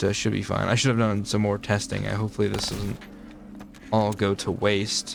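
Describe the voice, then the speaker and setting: Through noticeable background noise, a man mumbles at a moderate pace. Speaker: gaming YouTuber. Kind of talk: casual gameplay commentary. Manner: mumbling; rambling, halting with repeated words.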